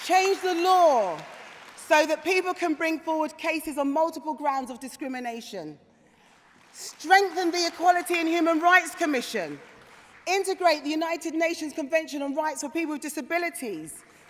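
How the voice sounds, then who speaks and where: Her voice sits at an extremely high pitch for a woman. Crowd noise can be heard behind this woman. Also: ordinary pitch variation, moderate pace. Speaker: politician, Labour shadow minister. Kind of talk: political conference speech. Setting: conference hall with audience.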